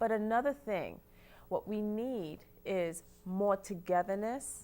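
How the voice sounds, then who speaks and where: A woman with a Caribbean accent talks at a very slow pace in a dark, mellow tone, with ordinary pitch variation, on a very clean recording with a silent background. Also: medium pitch for a woman. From Trinidad. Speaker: TV talk show co-host. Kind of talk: casual panel discussion.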